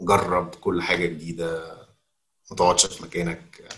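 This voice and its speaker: A man's very deep, low pitch, monotone, flat intonation and a fairly slow pace. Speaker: learning and development manager. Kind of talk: interview.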